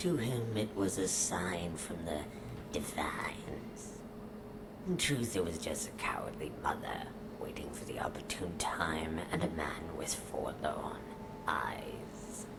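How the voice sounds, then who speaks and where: In a whispered, put-on character voice, the speaker goes at a fairly slow pace over loud background noise. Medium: machinima. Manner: scornful, cold, measured; calls the listener a fool.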